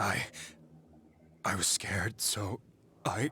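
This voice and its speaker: A man whispers in a put-on character voice. His voice is raspy. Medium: video game. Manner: unsteady, halting.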